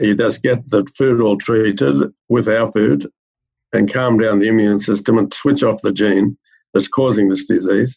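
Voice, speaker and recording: The speaker talks at a moderate pace with an Australian accent and ordinary pitch variation. Loudness stays very even throughout. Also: man, fairly low pitch for a man. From rural Australia. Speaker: medical researcher. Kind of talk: interview.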